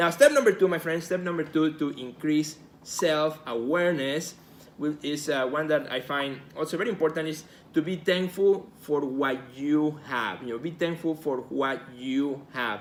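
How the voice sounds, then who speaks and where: Speaking at a moderate pace, a man with a Spanish accent sounds enthusiastic, his fairly high voice showing ordinary pitch variation. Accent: Spanish accent, noticeable. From Mexico. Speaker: artist and gallery director, video host. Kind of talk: live video talk to viewers. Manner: enthusiastic, repetitive with fillers.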